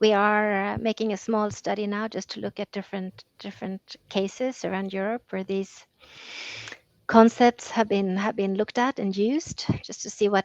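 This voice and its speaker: Heard dry and close with no echo, a woman speaks at medium pitch and a moderate pace in a flat monotone, her loudness swinging widely. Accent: Swedish. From Sweden. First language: Swedish. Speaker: EU policy officer. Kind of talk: interview.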